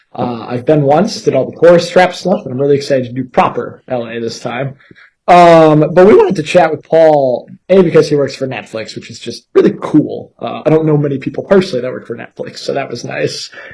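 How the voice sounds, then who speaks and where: A man speaks at a fairly quick pace, his pitch fairly high, with ordinary pitch variation and big swings in loudness. His tone is dark, mellow and somewhat breathy. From Canada. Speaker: podcast host. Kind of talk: casual interview.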